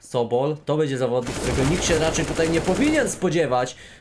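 A man talks at a very fast pace. His tone is animated and his intonation lively. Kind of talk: live esports commentary on a CS:GO match. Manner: fast, animated play-by-play, rapid-fire and excitable with casual banter; sometimes halting, self-correcting mid-sentence.

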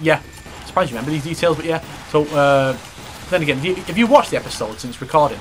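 Amid noticeable background noise, a man talks very fast at a fairly high pitch with ordinary pitch variation, yet with long, frequent pauses. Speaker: gaming video host. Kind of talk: casual chat while playing a video game. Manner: casual, jokey, frequent laughing and swearing.

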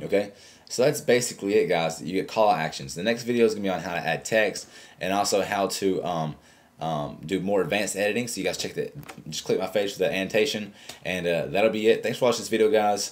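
Very fast speech from a man, fairly low-pitched, with ordinary pitch variation. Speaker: tech tutorial youtuber; tech tutorial host. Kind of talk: tutorial. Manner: casual, halting with fillers. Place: home room. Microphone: webcam.

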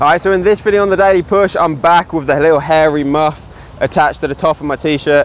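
A man talks at a very fast pace. The sound is dry with no echo, over light background noise. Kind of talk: casual vlog chat, tutorial. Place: street. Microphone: lapel.

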